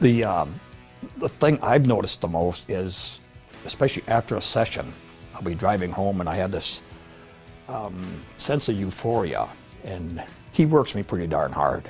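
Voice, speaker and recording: A man's fairly low voice at a moderate pace, lively in intonation, with long, frequent pauses and music in the background. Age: 70s. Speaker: woodworker. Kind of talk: interview answer. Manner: hesitant.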